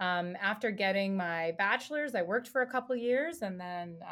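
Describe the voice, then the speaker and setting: A woman with an American accent speaks at a moderate pace and medium pitch, on a very clean recording with a silent background. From United States. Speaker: professor. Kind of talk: casual chat. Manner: halting.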